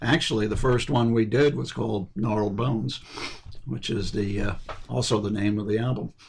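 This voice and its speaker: Lively intonation and vocal fry mark this man's fairly low-pitched voice as he speaks at a moderate pace. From Pennsylvania, Bethlehem. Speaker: poet, lyricist. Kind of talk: radio interview. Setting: radio studio. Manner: hesitant, many fillers.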